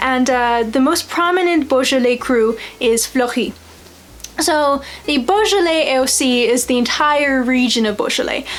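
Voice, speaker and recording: At a moderate pace, a woman talks in a high pitch with ordinary pitch variation and very even loudness over noticeable background noise. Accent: American. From United States. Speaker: wine video host. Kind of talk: educational vlog.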